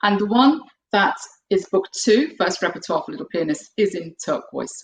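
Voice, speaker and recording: This is a woman speaking with a British accent. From UK. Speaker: piano teacher and composer. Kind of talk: online webinar presentation. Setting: video webinar.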